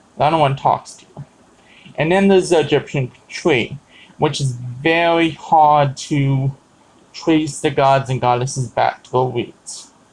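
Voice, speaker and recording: A man's fairly high voice, somewhat breathy, holds a fairly even intonation. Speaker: pagan vlogger. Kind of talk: casual talk to camera. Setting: live stream. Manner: halting, many fillers.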